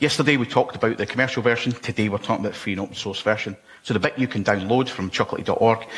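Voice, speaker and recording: Speaking at a very fast pace, a man talks with a Scottish accent. His pitch variation is ordinary. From Scotland. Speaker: conference speaker. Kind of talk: technical conference talk. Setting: stage with audience. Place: hall.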